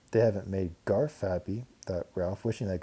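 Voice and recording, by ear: The clip features natural-voiced reading aloud.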